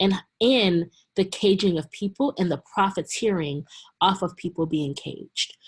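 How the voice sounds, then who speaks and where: Speaking at a moderate pace, a woman has a somewhat breathy voice at medium pitch with ordinary pitch variation. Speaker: community organizer. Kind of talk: webinar presentation.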